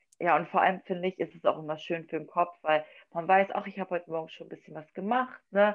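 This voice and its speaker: A woman with a plain, everyday voice. Her intonation stays fairly even. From northern Germany, Wolfsburg, Lower Saxony. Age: 20s. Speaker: figure bodybuilding athlete. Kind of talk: casual chat.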